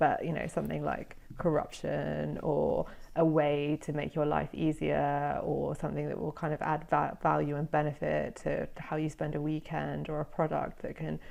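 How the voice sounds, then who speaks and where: Her accent is British. She speaks at a moderate speed. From Britain. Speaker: former journalist, SEO content specialist. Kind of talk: interview conversation. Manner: hesitant, many fillers.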